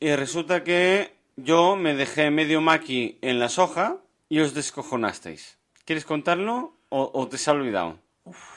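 A man's fairly high voice at a fairly slow pace, with ordinary pitch variation and big shifts in loudness, over a quiet background. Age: 40s. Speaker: podcast co-host. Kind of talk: casual chat. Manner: animated.

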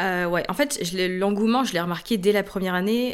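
An unremarkable speaking voice: a woman talks with fairly even intonation. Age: 30s. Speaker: entrepreneur and online trainer. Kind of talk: interview conversation.

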